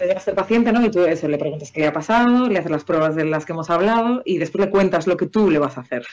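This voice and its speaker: Talking very fast over noticeable background noise, a woman has a fairly low pitch. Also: lively intonation. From Spain, Galicia (Vigo). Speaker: allergist doctor. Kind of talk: interview on a live stream.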